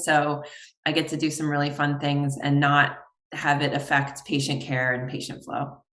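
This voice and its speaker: A woman speaks with an American accent at a very deep, low pitch. Room echo is audible. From New York. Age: 40s. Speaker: optometrist and consultant. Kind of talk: podcast interview.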